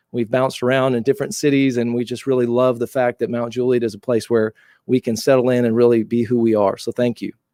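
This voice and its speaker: A man talks at a very fast pace with an American accent, a medium pitch and a dark, mellow tone. His intonation is fairly even, and the sound is dry and close with no echo. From Southern California. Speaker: youth sports coach. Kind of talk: public meeting remarks.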